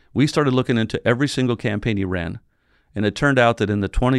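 A man with an American accent speaks at a very fast pace and medium pitch. The sound is dry and close, with no echo. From San Diego area, California. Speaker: newspaper publisher. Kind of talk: interview.

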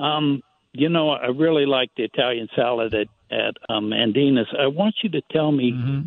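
Pitched fairly high, a man speaks with ordinary pitch variation. His pace is moderate. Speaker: caller. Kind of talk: casual chat. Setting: phone call. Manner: halting.

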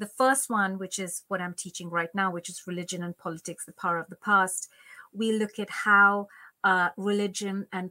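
A woman with a Bengali accent, at medium pitch, with a bright, sharp tone and a dry, close sound free of echo. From India, Bengal (Calcutta). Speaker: Sanskrit scholar, lecturer. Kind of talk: interview conversation. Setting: remote call.

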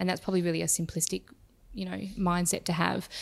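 The voice carries an Australian accent on a very clean recording with a silent background. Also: woman. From Perth, Western Australia. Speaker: startup CEO. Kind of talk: interview.

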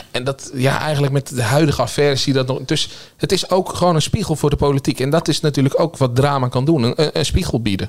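Talking at a very fast pace with hardly any pauses, this man has a fairly high voice. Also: ordinary pitch variation. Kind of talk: casual panel discussion.

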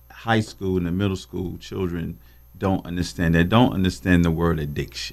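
Very deep and low in pitch, a man with an American accent speaks with ordinary pitch variation. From Greensboro, North Carolina. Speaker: agency president. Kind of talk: radio interview.

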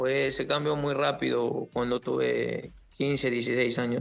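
A man is speaking. Music plays in the background. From Peru, Lima. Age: 20s. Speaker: professional footballer. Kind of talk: interview.

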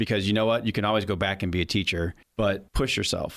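In a normal speaking voice, a man with an American accent talks with fairly even intonation on a very clean recording with a silent background. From US Midwest, St. Louis area. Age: 40s. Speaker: author and school director. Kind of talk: interview.

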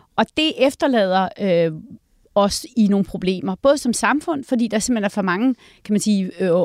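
The recording is very clean, and the background is silent. An ordinary speaking voice carries lively intonation at a moderate pace. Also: woman. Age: 50s. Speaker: think tank director. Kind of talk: casual chat.

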